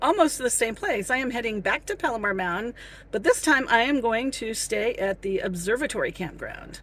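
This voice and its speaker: A woman's raised, projected voice at a moderate pace with very wide pitch swings, on a very clean recording with a silent background. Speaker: solo camping vlogger. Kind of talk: casual talk to camera.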